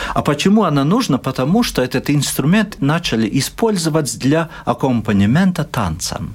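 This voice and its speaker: A somewhat breathy voice with a Latvian accent and very wide pitch swings. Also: man. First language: Latvian (speaking Russian). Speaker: ethnomusicologist and professor. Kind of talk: interview.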